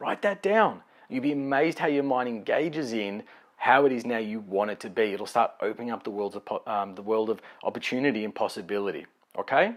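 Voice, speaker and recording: Lively intonation and an animated tone carry speech at a fairly quick pace in a very clean recording with a silent background. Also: man, medium pitch for a man. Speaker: life coach. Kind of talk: motivational talk. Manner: fast.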